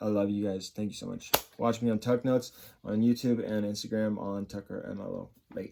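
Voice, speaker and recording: Speaking at a fairly quick pace, a man uses a fairly low pitch and monotone, flat intonation. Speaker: stock market YouTuber. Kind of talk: casual stock analysis video. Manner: fast.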